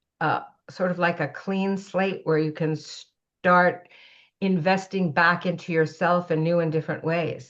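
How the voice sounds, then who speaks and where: Over a quiet background, a woman with a Canadian accent uses an ordinary speaking voice, fairly low in pitch with fairly even intonation. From Canada. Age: 60s. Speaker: age-equity advocate and entrepreneur. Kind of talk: podcast interview. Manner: conversational, with fillers.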